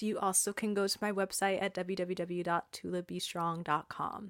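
A woman speaks with a Californian accent in a bright, sharp tone at a moderate pace. The recording is very clean, with a silent background. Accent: Californian American. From Southern California, Inland Empire. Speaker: performance artist and professor. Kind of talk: casual interview chat.

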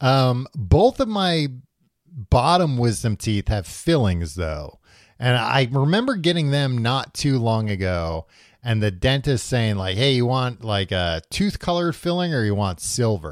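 On a very clean recording with a silent background, a man speaks at medium pitch. His pace is fairly slow, and his pitch swings are very wide. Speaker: podcast host. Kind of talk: casual chat. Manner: joking, bantering.

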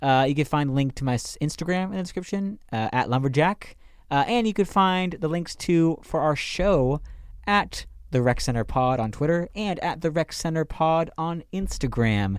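On a very clean recording with a silent background, a man with an unremarkable speaking voice talks at a moderate pace, fairly high-pitched with lively intonation. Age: 20s. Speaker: podcast co-host, student. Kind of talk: casual chat.

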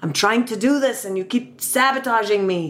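A female-sounding voice with a fairly high pitch uses a put-on character voice at a moderate pace. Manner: gruff, cranky.

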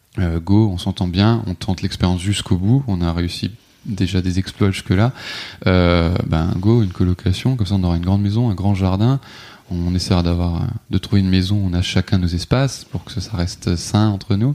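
A man's very deep, low voice keeps fairly even intonation and a moderate pace against noticeable background noise. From France, Alsace. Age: 30s. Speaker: hotel receptionist. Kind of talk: casual interview. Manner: halting, many hesitations.

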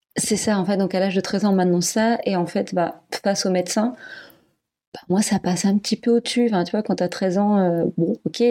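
At a fairly quick pace, a woman speaks at medium pitch in a dark, mellow tone with fairly even intonation, on a very clean recording with a silent background. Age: 30s. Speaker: adoptive parent-to-be. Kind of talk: testimony. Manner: halting.

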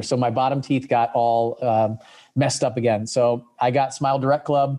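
A man speaks at medium pitch, his tone dark and mellow. His pitch varies in an ordinary way.

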